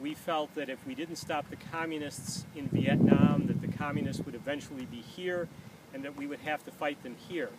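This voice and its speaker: A man with an American accent speaks at a fairly high pitch. Noticeable background noise is present. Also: fairly even intonation, moderate pace. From United States. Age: 60s. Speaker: peace activist. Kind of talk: personal monologue to camera. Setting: outdoors, walking backward around a track. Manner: occasional hesitations with uh.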